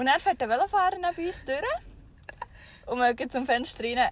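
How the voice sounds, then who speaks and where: A woman's voice with a Swiss accent. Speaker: podcast co-host. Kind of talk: casual chat. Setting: in a camper van with the rear hatch open.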